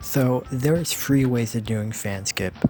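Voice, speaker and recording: A man speaks with a medium pitch and fairly even intonation, keeping a moderate pace. Music is playing behind him. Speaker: speedrunner. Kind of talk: game tutorial narration.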